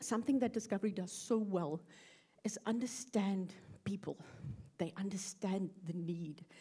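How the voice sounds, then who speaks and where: This woman's voice is somewhat breathy. It carries a dark, mellow tone. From South Africa. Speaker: UX researcher. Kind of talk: conference talk. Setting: stage with audience.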